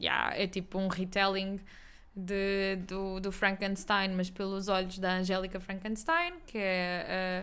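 A woman's bright, sharp tone at a fairly slow pace, with monotone, flat intonation. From Portugal, Algarve (Quarteira). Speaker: podcast co-host. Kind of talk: casual chat.

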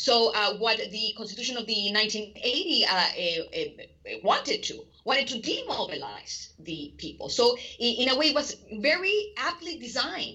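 A high-pitched woman with a Spanish accent and very wide pitch swings. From Chile. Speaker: political scientist. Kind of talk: interview. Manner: halting, many fillers.

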